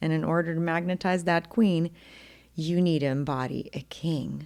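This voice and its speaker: A woman with a slight Ukrainian accent and a very deep, low pitch, on a very clean recording with a silent background. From Ukraine. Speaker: podcast host, intimacy coach. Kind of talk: solo podcast monologue.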